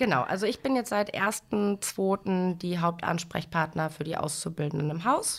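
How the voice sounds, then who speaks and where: A woman's plain, everyday voice, medium in pitch with ordinary pitch variation, at a fairly slow pace with hardly any pauses. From western Germany, Lower Rhine (Dinslaken). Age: 30s. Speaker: bank training manager. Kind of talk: interview on a corporate podcast.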